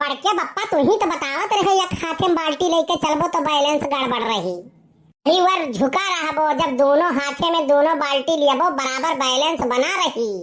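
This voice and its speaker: A woman puts on a cartoonish character voice, high in pitch, at a moderate pace with very even loudness. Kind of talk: comic overacting. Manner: dramatic, whiny.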